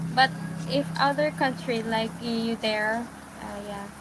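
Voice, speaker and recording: Over noticeable background noise, the speaker goes at a very slow pace with ordinary pitch variation. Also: woman. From Philippines, Iloilo (Ilonggo). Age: 20s. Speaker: live streamer. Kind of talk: casual livestream chat. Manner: halting, hesitant English.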